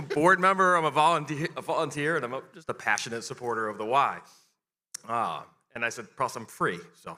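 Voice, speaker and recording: Fairly high-pitched and bright, sharp in tone, a man speaks at a fairly quick pace with lively intonation and big swings in loudness. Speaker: volunteer auctioneer and board member. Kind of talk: charity auction. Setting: gala stage with audience. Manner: fast.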